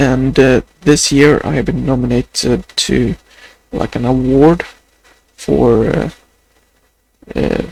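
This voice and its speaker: A man speaks in a Swedish accent at a very slow pace. Long pauses come often. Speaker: vlogger. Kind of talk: video diary. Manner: halting.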